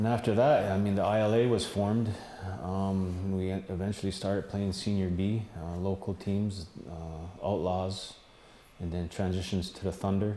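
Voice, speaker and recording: The speaker has an American accent and a dark, mellow tone. The pace is moderate, and the intonation fairly even. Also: man, fairly low pitch for a man. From Akwesasne, Mohawk territory on the Canada-US border. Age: 50s. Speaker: former lacrosse player. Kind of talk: interview. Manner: halting, many fillers.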